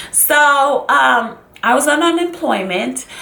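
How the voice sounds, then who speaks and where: Over noticeable background noise, a woman with a high pitch uses a raised, projected voice and a dramatic tone, her pitch swinging very widely. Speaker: YouTuber / vlogger. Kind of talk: casual talk to camera, storytelling. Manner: dramatic, expressive, chatty.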